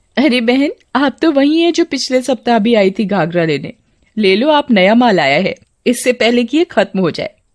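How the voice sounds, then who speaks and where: Cackling in a put-on character voice, a woman speaks at a fairly quick pace and a high pitch. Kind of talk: cartoon horror storytelling. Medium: cartoon. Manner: cackling, taunting.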